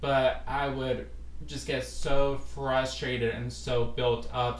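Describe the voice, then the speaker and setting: The speech comes at a very slow pace, with noticeable background noise around it. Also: man. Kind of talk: casual podcast talk to camera. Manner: casual, hesitant with fillers.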